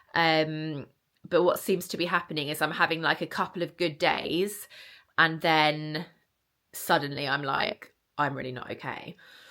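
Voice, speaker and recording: Speaking with a British accent, a woman has a very deep, low pitch and a bright, sharp tone, talking at a moderate pace with fairly even intonation on a very clean recording with a silent background. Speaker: vlogger. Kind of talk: casual vlog. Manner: chatty, frequent ums.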